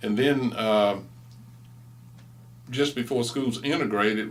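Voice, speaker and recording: A man with an American accent speaks at medium pitch. His intonation is fairly even, and there is audible room echo. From East Texas. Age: 60s. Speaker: interviewee, former student. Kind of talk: oral history interview.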